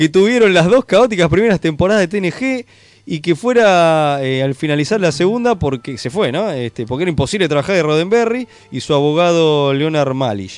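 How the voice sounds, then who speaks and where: Very wide pitch swings from a man with a high voice, at a moderate pace. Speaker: podcast co-host. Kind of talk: casual chat. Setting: studio.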